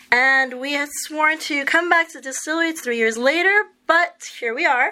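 With an American accent, a woman speaks at a moderate pace in a raised, projected voice with a bright, sharp tone and lively intonation. The recording is very clean, the background silent. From New York. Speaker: podcast co-host, interviewer. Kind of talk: interview. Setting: on location at a distillery.

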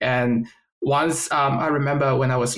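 A man talks in a Chinese accent at a fairly high pitch. His intonation stays fairly even. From China. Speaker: environmental science graduate, podcast co-host. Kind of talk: casual chat.

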